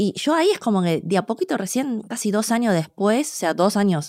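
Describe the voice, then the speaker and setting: A woman with an unremarkable speaking voice talks at a fairly quick pace with lively intonation. The recording is very clean, with a silent background. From Argentina (born in China, raised from small child). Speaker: cook and food communicator. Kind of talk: interview conversation.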